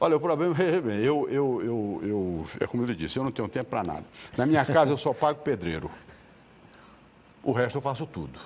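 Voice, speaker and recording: A man speaks at a medium pitch and a fairly quick pace, with long, frequent pauses. His pitch swings very widely. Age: 70s. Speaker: lawyer and elderly rights advocate. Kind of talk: TV interview. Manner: repetitive stammering starts.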